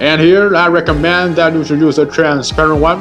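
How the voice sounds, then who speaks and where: A man with a non-native accent speaks at a moderate pace in a fairly high, monotone voice with flat intonation. Music plays in the background. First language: not English. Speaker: home cook. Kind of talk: cooking tutorial narration.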